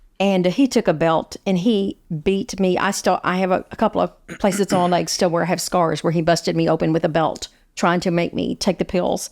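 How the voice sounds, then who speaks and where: This woman's fairly low voice carries vocal fry, with very even loudness and fairly even intonation. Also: dry, close sound with no echo. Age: 60s. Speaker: guest sharing childhood abuse story. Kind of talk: podcast interview testimony. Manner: halting, repeats words.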